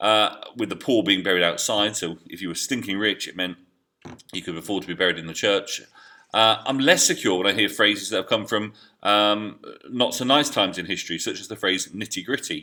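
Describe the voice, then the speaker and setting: The tone is bright and sharp. The pace is fairly quick, with ordinary pitch variation. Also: man, fairly low pitch for a man. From England. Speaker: history teacher. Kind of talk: educational video diary. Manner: hesitant, with many fillers.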